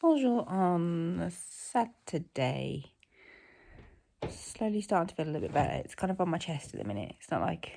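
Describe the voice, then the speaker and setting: A woman speaks at a moderate pace with a British accent. Her loudness swings widely on a very clean recording with a silent background. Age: 40s. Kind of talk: casual vlog talk to camera.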